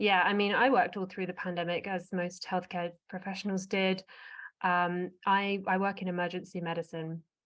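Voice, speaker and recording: A woman with an English accent, medium pitch and a moderate pace. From England, Essex. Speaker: emergency medicine doctor. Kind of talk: interview conversation. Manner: animated.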